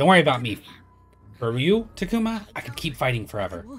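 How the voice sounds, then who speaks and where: Over faint background music, a man in a put-on character voice races at a very fast pace, his medium pitch making very wide swings. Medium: game stream. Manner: loyal, eager.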